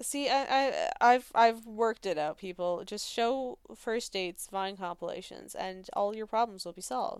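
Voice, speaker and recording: In a very clean recording with a silent background, a woman with an unremarkable speaking voice talks at a moderate pace, fairly high in pitch, with lively intonation. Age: 20s. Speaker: podcast co-host. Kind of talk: casual chat.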